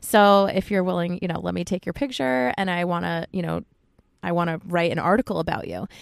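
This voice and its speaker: Recorded with a dry, close sound and no echo, a woman with a fairly low pitch and an American accent uses an ordinary speaking voice, ordinary pitch variation, and a fairly quick pace. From US East Coast, Connecticut. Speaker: photographer, project founder. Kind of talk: casual interview chat. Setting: inside a parked car.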